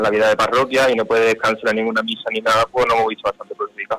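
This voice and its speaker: The sound is dry and close with no echo as a man speaks at a very fast pace. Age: 20s. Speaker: brotherhood official. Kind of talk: interview.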